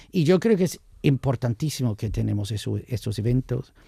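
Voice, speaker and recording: Over a silent background in a very clean recording, a man talks at a moderate pace in a medium-pitched, somewhat breathy voice with a dark, mellow tone. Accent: American. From United States. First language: English (speaking Spanish). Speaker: wine commentator. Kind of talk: casual chat.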